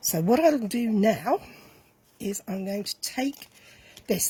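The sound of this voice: Slowly, a woman speaks with a dark, mellow tone and a husky, rough edge.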